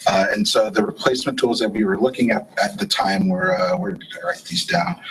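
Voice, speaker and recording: Noticeable noise sits behind a speaker who talks fairly quickly. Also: man. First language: not English. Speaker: software engineer. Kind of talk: conference talk. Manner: many filler words (uh, um).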